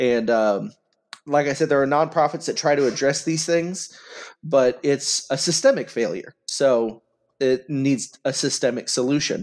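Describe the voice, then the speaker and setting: A man with an American accent talks in a normal speaking voice, pitched fairly high. He goes at a fairly slow pace with ordinary pitch variation. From Oklahoma, McAlester. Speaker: congressional candidate. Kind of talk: interview.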